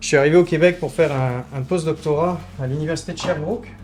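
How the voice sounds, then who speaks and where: With music playing in the background, a man talks at a fairly quick pace. His pitch is fairly high, with ordinary variation. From southern France (Toulouse). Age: 30s. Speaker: artisan baker. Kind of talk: documentary interview. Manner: hesitant, many fillers.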